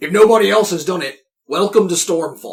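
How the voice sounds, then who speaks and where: Putting on a character voice, a man speaks raspy and high-pitched at a fairly quick pace. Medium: actual play. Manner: chatty, folksy.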